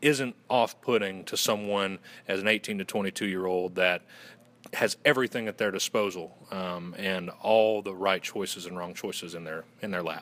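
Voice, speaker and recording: Here a man with a Southern US accent speaks in a very deep, low voice. His pace is fairly slow and his intonation fairly even. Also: very clean recording, silent background. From Western North Carolina. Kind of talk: casual, folksy.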